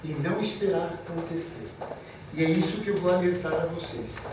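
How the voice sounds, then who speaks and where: Amid audible room echo and noticeable background noise, a man talks fairly slowly. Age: 70s. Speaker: physician and lecturer. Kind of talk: lecture.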